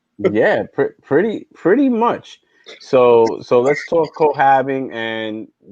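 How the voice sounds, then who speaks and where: A man in a New York accent speaks at a very slow pace. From New York, South Bronx. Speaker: podcast host. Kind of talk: casual chat. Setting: live stream.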